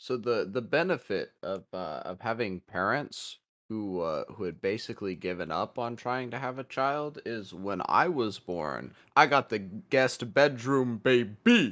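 Speaking at a fairly slow pace with lively intonation, a man with an American accent has an unremarkable speaking voice at a medium pitch, captured on a very clean recording with a silent background. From US Midwest. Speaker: podcast co-host. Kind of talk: casual chat.

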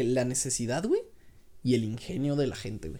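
A man's dark, mellow tone rises and falls with lively intonation. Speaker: podcast co-host. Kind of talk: casual chat.

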